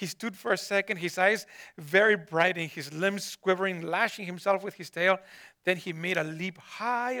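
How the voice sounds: The speaker uses a natural reading voice and ordinary pitch variation.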